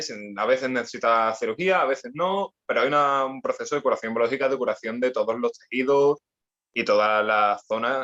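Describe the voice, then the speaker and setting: A man with an Andalusian accent speaks at a medium pitch. His tone is bright and sharp. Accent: Andalusian (Cádiz). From Andalusia, Spain (Cádiz). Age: 20s. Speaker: personal trainer and sports rehab specialist. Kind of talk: podcast interview. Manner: halting, many repetitions.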